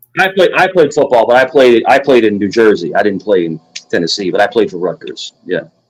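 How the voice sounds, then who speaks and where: A man with a Virginia accent talks at a fairly quick pace. His medium-pitched voice swings very widely in pitch. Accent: Virginian. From New York (Queens). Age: 40s. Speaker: livestream host. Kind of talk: casual chat. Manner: animated.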